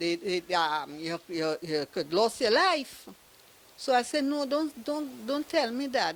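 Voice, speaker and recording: With a Trinidadian accent, a woman speaks at a fairly slow pace with very wide pitch swings. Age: 70s. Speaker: evicted tenant. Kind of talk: testimony. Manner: halting.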